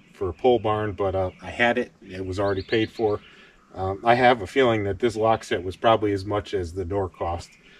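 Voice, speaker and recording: Speaking fairly quickly in a normal speaking voice, a man keeps a fairly low pitch and fairly even intonation, with a dry sound and no echo. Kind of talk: casual vlog chat. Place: forest. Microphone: camera far.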